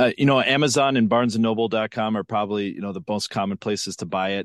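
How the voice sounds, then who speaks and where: A man with an American accent talks in an ordinary speaking voice at a fairly low pitch and fairly quick pace, with fairly even intonation and a dry, close sound with no echo against a quiet background. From western Minnesota. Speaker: TV investigative reporter and author. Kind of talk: interview, storytelling a case.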